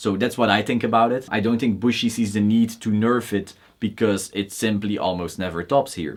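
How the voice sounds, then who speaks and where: Speaking with a Belgian accent at a moderate pace, the voice keeps fairly even intonation and hardly any pauses. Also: man, fairly low pitch for a man. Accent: noticeable Belgian. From Belgium. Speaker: card game YouTuber. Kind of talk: Q&A video monologue. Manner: casual, opinionated.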